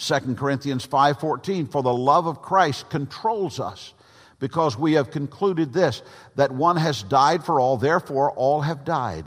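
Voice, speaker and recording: A man's voice, pitched fairly high with ordinary variation, moves at a fairly slow pace. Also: very clean recording, silent background. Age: 60s. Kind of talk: sermon. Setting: church with congregation. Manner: halting, with frequent fillers.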